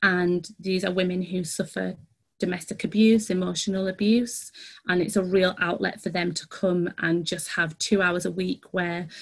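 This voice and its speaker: Over a quiet background, a woman speaks at a medium pitch in a monotone, flat intonation that is somewhat breathy. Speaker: dance outreach manager. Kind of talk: online workshop presentation. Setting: video call. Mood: earnest, warm. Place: home room. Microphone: video call.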